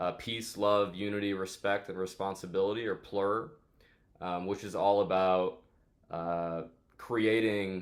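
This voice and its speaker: A fairly low-pitched man with an American accent, fairly even intonation and a fairly slow pace in a very clean recording with a silent background. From New York City. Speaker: DJ and electronic music producer. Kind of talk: interview.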